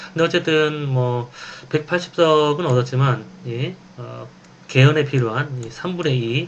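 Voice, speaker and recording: A man's fairly high voice with ordinary pitch variation and long, frequent pauses. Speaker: professor. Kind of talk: lecture. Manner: fast.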